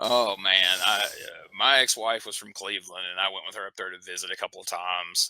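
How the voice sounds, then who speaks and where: Speaking in a Southern US accent, a man moves at a fairly quick pace with hardly any pauses and big swings in loudness. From US South. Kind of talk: casual chat.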